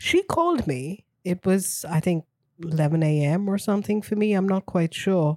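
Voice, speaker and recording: In an ordinary speaking voice, a woman talks at a medium pitch and a moderate pace, with ordinary pitch variation, very even loudness and a dry, close sound with no echo. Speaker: business managing director, friend of host. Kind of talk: casual chat.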